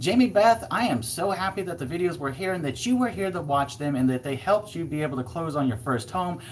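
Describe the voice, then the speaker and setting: Through noticeable background noise, a man with a fairly high pitch speaks at a very fast pace with lively intonation. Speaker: real estate agent. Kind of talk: live stream Q&A. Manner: animated.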